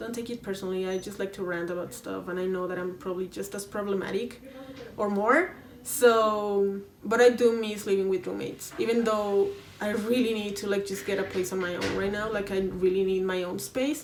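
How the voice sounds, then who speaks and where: A woman is speaking. Audible room echo and noticeable background noise come through. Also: medium pitch for a woman, fairly even intonation, fairly quick pace. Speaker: YouTuber. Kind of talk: casual vlog monologue.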